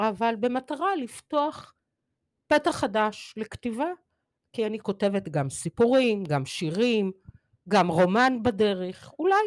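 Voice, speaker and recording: Pausing long and often at a very slow pace, a woman with a fairly high pitch swings very widely in pitch, recorded very cleanly with a silent background and a dry, close sound with no echo. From Israel (Kfar Vitkin), teen years in Mexico City. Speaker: poet, retired English teacher. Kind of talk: interview. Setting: studio.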